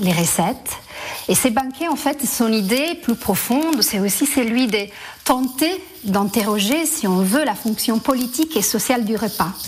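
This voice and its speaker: A woman speaks at a fairly slow pace in an Italian accent, her pitch fairly high and her intonation lively. Noticeable background noise runs underneath. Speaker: theatre director. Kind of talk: radio interview.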